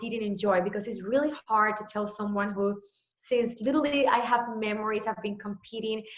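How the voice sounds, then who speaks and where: A woman speaks with a Puerto Rican accent. Her pitch is fairly high and her pace moderate. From Puerto Rico. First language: Spanish. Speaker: fitness trainer. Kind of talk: personal story on a video call.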